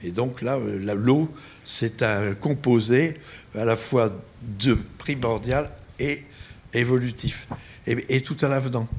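Very slow, somewhat breathy speech from a man at medium pitch, with long, frequent pauses. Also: ordinary pitch variation. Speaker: astrophysicist. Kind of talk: lecture.

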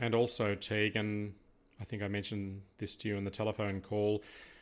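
Recorded very cleanly against a silent background, a man speaks at a moderate pace with a fairly low pitch and little pitch movement.

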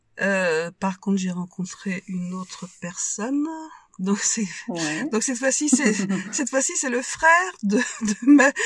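The pitch swings very widely and the pace is very slow. Noticeable background noise runs underneath. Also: woman, fairly high pitch for a woman. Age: 60s. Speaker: widowed mother. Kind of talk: testimony. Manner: halting.

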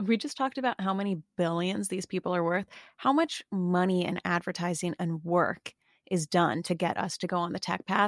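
A woman speaks at a moderate pace at medium pitch with ordinary pitch variation, an unremarkable speaking voice, recorded dry and close with no echo against a quiet background. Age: 20s. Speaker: podcaster, celebrity gossip commentator. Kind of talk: casual chat.

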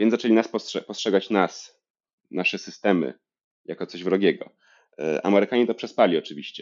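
A man talks at a fairly quick clip, his pitch fairly low with ordinary rise and fall. Long pauses break up his speech often. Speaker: history PhD student. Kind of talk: interview.

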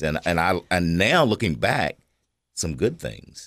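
In a Tennessee accent, a man speaks with a very deep, low pitch and vocal fry on a very clean recording with a silent background. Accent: Tennessee Southern American. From Cookeville, Tennessee (US South). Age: 60s. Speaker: retired human resources worker. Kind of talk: radio interview. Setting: studio. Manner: hesitant with many fillers.

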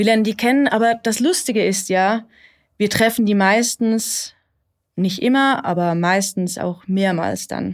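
A woman speaks in an unremarkable speaking voice at a medium pitch and a fairly slow pace. Her pitch varies in an ordinary way, in a very clean recording with a silent background. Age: 30s. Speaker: therapy client. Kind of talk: therapy conversation.

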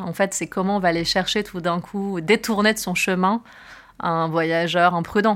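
A woman's fairly low, monotone voice with flat intonation, a fairly slow pace and a very clean recording over a silent background. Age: 30s. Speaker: film producer. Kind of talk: interview.

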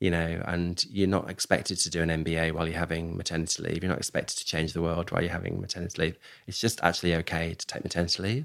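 Recorded very cleanly against a silent background, a man with a British accent and a very deep, low pitch talks at a very fast pace with ordinary pitch variation. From UK. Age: 50s. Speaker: executive search firm founder. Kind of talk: interview conversation. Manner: halting, frequent repetitions.

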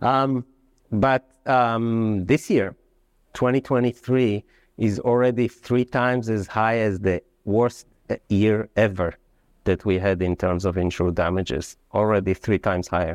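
A man's fairly low voice with a non-native accent, fairly slow pace, ordinary pitch variation and very even loudness, dry and close with no echo against a quiet background. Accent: foreign-accented English. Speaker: economist. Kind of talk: panel discussion. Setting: stage with audience.

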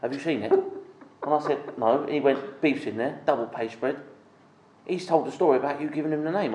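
Against noticeable background noise, a man talks at a very fast pace with a fairly high pitch. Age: 40s. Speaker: golf club member. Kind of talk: casual chat. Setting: golf club.

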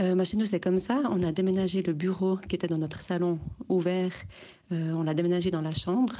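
In a plain, everyday voice, a woman with a fairly low pitch speaks at a moderate pace with fairly even intonation. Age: 30s. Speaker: listener sending a voice message. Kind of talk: voice message testimony.

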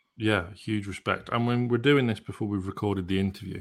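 A man with a plain, everyday voice speaks at a fairly low pitch with fairly even intonation on a very clean recording with a silent background. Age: 30s. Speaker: podcast co-host. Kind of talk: interview; casual chat.

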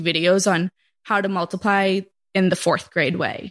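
Recorded very cleanly with a silent background, a woman with a normal speaking voice and an American accent talks at a moderate pace and medium pitch, her intonation fairly even. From Massachusetts. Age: 20s. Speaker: schoolteacher. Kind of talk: casual chat. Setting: at home in quarantine.

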